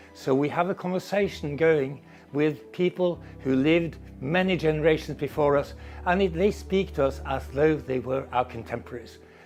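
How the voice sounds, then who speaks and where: A man's ordinary pitch variation is heard while music plays in the background. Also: fairly high pitch for a man. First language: Norwegian. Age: 60s. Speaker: professor. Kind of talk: interview monologue. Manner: fast.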